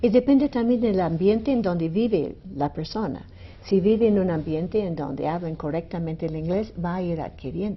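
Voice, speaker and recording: A somewhat breathy, fairly low woman's voice with lively intonation and a slight American accent. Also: moderate pace. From United States. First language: English (speaking Spanish). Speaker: university language department director. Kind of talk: radio interview. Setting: radio studio.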